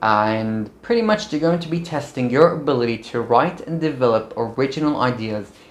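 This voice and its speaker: An upbeat man with a non-native accent speaks fairly quickly at a medium pitch, his intonation lively. Noticeable background noise sits behind him. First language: not English. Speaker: medical student YouTuber. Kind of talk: vlog tutorial. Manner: casual, upbeat.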